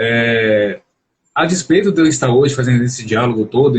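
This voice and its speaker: A man at medium pitch sounds somewhat breathy, his intonation lively. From Brazil, Belo Horizonte, Minas Gerais. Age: 30s. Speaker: psychology doctoral student and journalist. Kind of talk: live-stream interview. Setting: online live stream.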